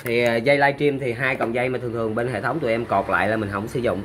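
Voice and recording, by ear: A man talks fast at a medium pitch. His tone is fairly bright, with faint background noise behind him.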